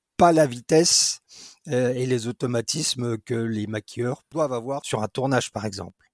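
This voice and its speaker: Speaking at a fairly slow pace with lively intonation, a man comes across dry and close with no echo. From France, Dijon. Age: 50s. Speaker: special effects artisan. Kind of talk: interview. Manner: hesitant with frequent repetitions.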